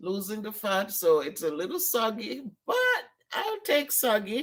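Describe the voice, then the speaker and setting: The speaker talks at a fairly slow pace. The voice comes with a Caribbean accent. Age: 60s. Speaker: vlogger. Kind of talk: casual vlog. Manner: animated.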